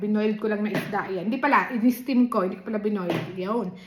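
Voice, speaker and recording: Over noticeable background noise, a woman speaks at a fairly quick pace and a fairly high pitch with ordinary pitch variation. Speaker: mukbang vlogger. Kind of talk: eating vlog chat. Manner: casual, chatty.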